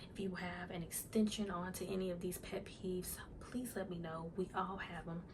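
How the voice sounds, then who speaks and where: The speaker is soft-spoken, and noticeable background noise can be heard. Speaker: YouTuber. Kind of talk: casual vlog talk to camera. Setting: at home in front of camera.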